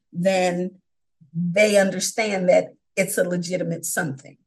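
A woman talks with an American accent in a voice that is somewhat breathy. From New York (Brooklyn, upstate). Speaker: online teacher. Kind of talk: interview.

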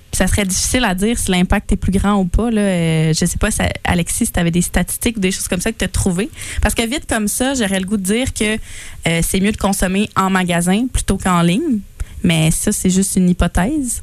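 A woman speaks in a Quebec accent. Her pace is fairly quick. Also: medium pitch for a woman, ordinary pitch variation. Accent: Québécois French. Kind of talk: casual chat.

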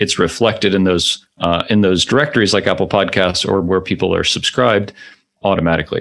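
A plain, everyday voice with an American accent, moving at a fairly quick pace. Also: man. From US. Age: 40s. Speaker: podcast company founder. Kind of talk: interview.

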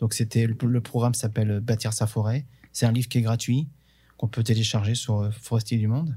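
A man's somewhat breathy voice, dark and mellow in tone, holds a flat monotone in a very clean recording with a silent background. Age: 50s. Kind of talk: interview.

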